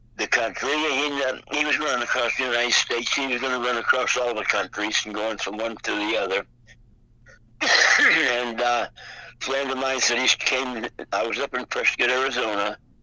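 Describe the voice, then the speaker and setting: Noticeable background noise sits behind a man speaking at a moderate pace and a medium pitch with fairly even intonation. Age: 90s. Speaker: World War II Navy veteran. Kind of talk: phone interview answer. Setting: phone line. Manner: hesitant, many fillers.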